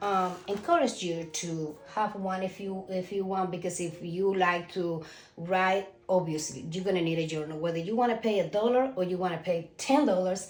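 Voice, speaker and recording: Amid noticeable background noise and audible room echo, a woman with a Cuban accent speaks at medium pitch, with ordinary pitch variation and a moderate pace. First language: Spanish. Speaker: self-published author. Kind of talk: casual vlog talk. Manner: halting, with fillers.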